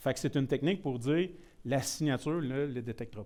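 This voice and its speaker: A man with a rural Quebec accent talks at a fairly quick pace with lively intonation. The recording is very clean, with a silent background. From Quebec, Shawinigan (Mauricie). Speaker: IT security presenter. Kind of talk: technical presentation. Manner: casual, mixes in many English words.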